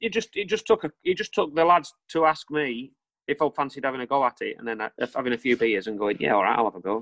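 A man with a Lancashire accent races along at a very fast pace, his pitch swinging very widely. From northern England, Lancaster. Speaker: rock band frontman. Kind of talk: casual chat.

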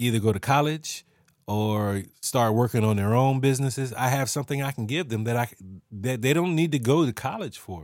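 In a very clean recording with a silent background, a man of medium pitch speaks at a moderate pace with ordinary pitch variation. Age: 40s. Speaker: podcast host and musician. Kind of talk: personal monologue with investment pitch. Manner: halting, many fillers and restarts.

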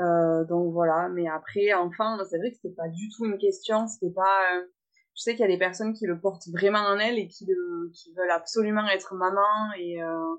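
In an ordinary speaking voice, a woman of medium pitch talks at a moderate pace with fairly even intonation and big swings in loudness. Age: 20s. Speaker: florist and mother. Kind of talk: interview testimony.

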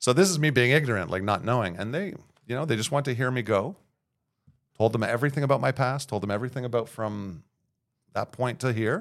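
On a very clean recording with a silent background, a man speaks with a Montreal accent. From Montreal, Quebec (Verdun). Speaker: city councillor. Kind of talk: casual chat.

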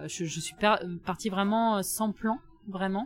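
The pace of this woman's speech is moderate. She keeps her intonation fairly even. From southwest France, near Bordeaux. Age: 30s. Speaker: solo adventure traveller, former lawyer. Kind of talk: interview testimony. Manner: hesitant, many fillers. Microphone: mediocre sound quality from recording problem.

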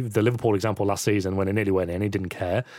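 Dry, close sound with no echo and a very clean recording over a silent background. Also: man. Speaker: football pundit. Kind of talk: casual football chat.

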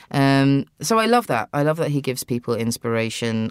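In a British accent, the speaker talks at a moderate pace in a very clean recording with a silent background. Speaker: actor and writer. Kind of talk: casual interview chat. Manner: halting, with repeated words.

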